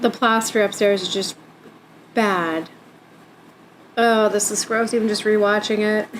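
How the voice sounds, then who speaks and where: Long, frequent pauses break up a woman's fairly slow speech. Her pitch is fairly high and her intonation monotone and flat. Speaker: DIY home renovation vlogger. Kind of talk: voiceover narration. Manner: casual, conversational.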